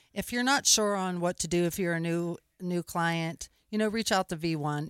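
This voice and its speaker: A woman with an American accent speaks in a plain, everyday voice at a fairly low pitch, with a dry, close sound with no echo on a very clean recording with a silent background. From Pittsburgh, Pennsylvania. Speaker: real estate photography business owner. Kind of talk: radio interview. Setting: studio.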